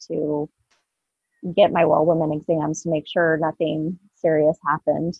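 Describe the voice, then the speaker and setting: A woman's very deep, low voice at a fairly slow pace, monotone and flat in intonation, with a dry sound with no echo and a quiet background. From Southwest Iowa, rural. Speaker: cancer survivor and advocate; podcast guest. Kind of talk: testimony. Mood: earnest, emotional personal story. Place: home room. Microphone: webcam.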